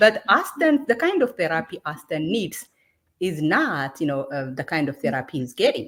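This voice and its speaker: Speaking with an Ethiopian accent, a woman has a fairly low pitch. She moves at a moderate pace with very wide pitch swings. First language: Amharic. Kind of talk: heated debate. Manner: halting.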